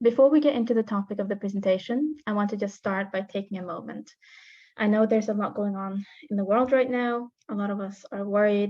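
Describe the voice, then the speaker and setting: A woman with an American accent, medium pitch, fairly even intonation and a fairly quick pace. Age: 20s. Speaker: founder of a student organization. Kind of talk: presentation.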